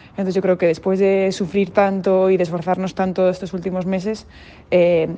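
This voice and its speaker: Fairly low in pitch and dark and mellow in tone, a woman speaks at a very fast pace. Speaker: basketball player. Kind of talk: interview.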